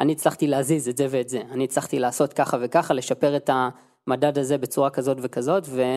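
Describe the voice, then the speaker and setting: At a fairly quick pace with hardly any pauses, a man speaks at a medium pitch in monotone, flat intonation. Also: very clean recording, silent background. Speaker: head of software development. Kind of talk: casual chat.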